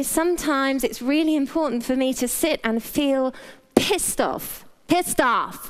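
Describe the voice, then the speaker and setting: Against noticeable background noise, a woman with a British accent and a high pitch speaks at a moderate pace. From Britain. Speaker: health practitioner giving a talk. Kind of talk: talk to a live audience. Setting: stage with audience, wearing a mic. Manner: casual, humorous.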